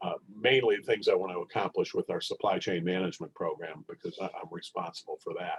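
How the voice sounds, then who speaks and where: The pace is moderate. A man talks in a dry, close recording with no echo. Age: 60s. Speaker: professor. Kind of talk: lecture. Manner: halting.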